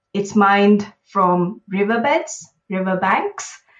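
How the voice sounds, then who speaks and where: A woman speaks at a very slow pace. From India, Bangalore. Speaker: author and social entrepreneur. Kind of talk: interview. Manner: halting, many fillers.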